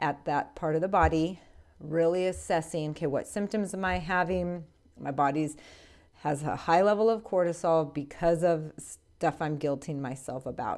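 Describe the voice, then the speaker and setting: A woman speaks in a normal speaking voice at a fairly low pitch. Her pitch variation is ordinary. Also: very clean recording, silent background. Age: 40s. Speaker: podcast host. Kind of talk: solo educational monologue.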